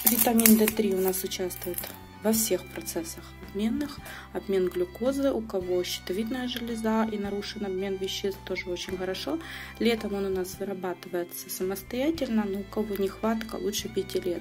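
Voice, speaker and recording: With music in the background, a woman speaks with ordinary pitch variation. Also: medium pitch for a woman, moderate pace. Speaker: online shop owner. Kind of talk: product unboxing review.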